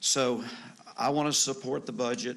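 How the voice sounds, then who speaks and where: Medium-pitched male speech with audible room echo and noticeable noise behind it. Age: 60s. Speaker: city council member. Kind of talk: council debate. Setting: council chamber.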